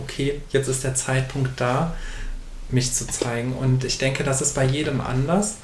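Medium-pitched man amid noticeable background noise and audible room echo. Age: 20s. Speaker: author and bookseller. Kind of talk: interview.

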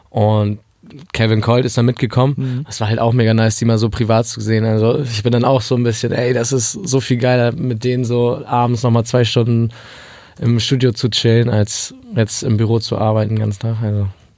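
Against noticeable background noise, a man speaks at a fairly quick pace in monotone, flat intonation. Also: medium pitch for a man. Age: 20s. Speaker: podcast host. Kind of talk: interview. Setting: studio.

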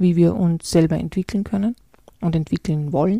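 A woman speaks at a fairly low pitch with ordinary pitch variation. Her voice is somewhat breathy, with a dark, mellow tone. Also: dry, close sound with no echo. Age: 40s. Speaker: leadership consultant and podcast host. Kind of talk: solo podcast monologue.

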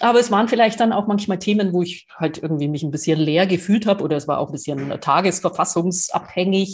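A somewhat breathy voice races along at a very fast pace with ordinary pitch variation. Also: woman. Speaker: podcast co-host. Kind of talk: casual chat.

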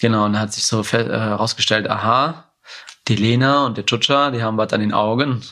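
The tone is bright and sharp. Delivery comes at a fairly quick pace with fairly even intonation. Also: man, medium pitch for a man. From Germany, Marburg area (came from Yemen aged five). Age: 20s. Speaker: Paralympic judoka and psychology student. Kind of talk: interview conversation. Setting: at home in his apartment. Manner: hesitant with many fillers.

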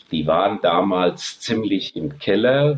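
A man speaks with lively intonation. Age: 60s. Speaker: retired entrepreneur and airshow organizer. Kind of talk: podcast interview.

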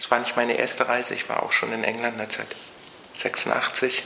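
A man speaks at medium pitch in a monotone, flat intonation. There is noticeable background noise. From East Berlin, Germany. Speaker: scientist. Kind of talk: interview.

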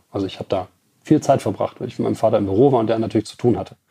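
Somewhat breathy and dark, mellow in tone, a man's voice sits at a fairly low pitch with ordinary pitch variation. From Germany, Ruhr area (Bottrop). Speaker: car tuning company CEO. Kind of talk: interview. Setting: company premises.

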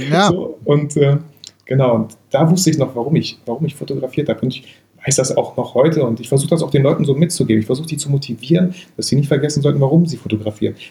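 A man rattles along at a very fast pace in a fairly high pitch. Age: 30s. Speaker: photographer and YouTuber. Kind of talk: casual interview.

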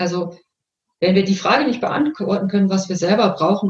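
A woman speaks at a moderate pace. Her tone is calm. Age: 50s. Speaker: coach. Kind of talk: interview.

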